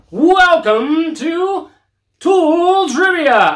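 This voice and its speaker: A put-on character voice is pitched extremely high. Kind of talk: announcer. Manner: showy, enthusiastic.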